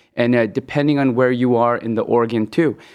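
A normal speaking voice with an American accent, ordinary pitch variation, and a quiet background. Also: man. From Hong Kong, then US West Coast from age ten. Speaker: gastroenterologist. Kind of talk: medical interview.

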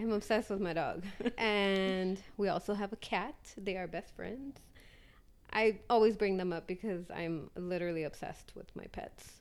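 At a moderate pace, a woman talks in a medium pitch with ordinary pitch variation, in a normal speaking voice. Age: 30s. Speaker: podcast co-host. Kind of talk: casual chat.

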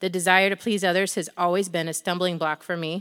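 The delivery is monotone and flat at a fairly quick pace, with a dry, close sound with no echo in a very clean recording with a silent background. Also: woman. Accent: American. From US Midwest, northwestern Ohio. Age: 30s. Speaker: women's ministry speaker. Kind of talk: testimony.

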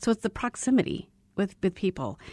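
A woman's medium-pitched voice with vocal fry, ordinary pitch variation and a quiet background. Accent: General American. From Arizona. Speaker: radio host. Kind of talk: interview. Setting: studio.

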